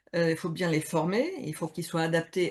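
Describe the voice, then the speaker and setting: A woman's fairly low voice against a quiet background. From Switzerland, mountains. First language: not French (speaking French). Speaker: HR consultant and coach, game co-author. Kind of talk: interview on Instagram live. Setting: Instagram live video call. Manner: hesitant, many fillers.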